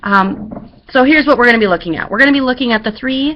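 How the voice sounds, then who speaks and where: The voice belongs to a woman. Ordinary pitch variation marks her speech. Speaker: schoolteacher. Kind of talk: classroom instructions. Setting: webcam recording. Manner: fast.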